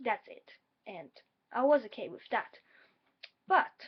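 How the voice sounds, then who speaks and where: At a moderate pace, a woman talks in a high pitch with very wide pitch swings. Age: 20s. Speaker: vlogger, graduate student. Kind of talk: personal vlog. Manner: hesitant, many fillers.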